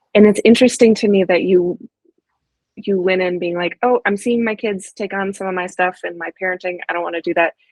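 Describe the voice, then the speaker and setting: A woman's medium-pitched voice at a fairly quick pace with fairly even intonation, an ordinary speaking voice. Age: 40s. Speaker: therapist and podcast host. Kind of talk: podcast interview.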